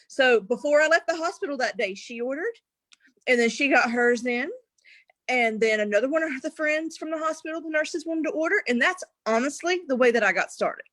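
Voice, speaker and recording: At a fairly quick pace, a woman with an American accent speaks in a high voice with lively intonation and an animated tone. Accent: thick rural. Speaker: network marketer. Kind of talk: casual chat. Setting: livestream interview.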